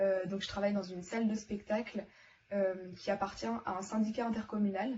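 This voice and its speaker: Over noticeable background noise, a woman talks at a moderate pace with monotone, flat intonation and a medium pitch. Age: 20s. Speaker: former student. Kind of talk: testimony. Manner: hesitant, many fillers.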